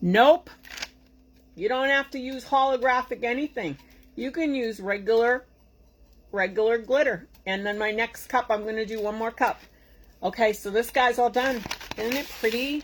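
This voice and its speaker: With an American accent, a woman speaks at a moderate pace with a fairly high pitch, ordinary pitch variation and long, frequent pauses. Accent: Boston accent, somewhat reduced. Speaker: tumbler crafter and tutorial host. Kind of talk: live craft tutorial. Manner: animated; casual, chatty.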